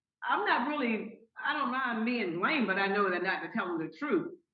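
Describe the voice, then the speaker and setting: A woman speaks at a moderate pace in a fairly high voice with very wide pitch swings. Audible room echo surrounds her. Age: 80s+. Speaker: landlord grandmother in court. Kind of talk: court testimony. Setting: video call court hearing. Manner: halting, repeats words.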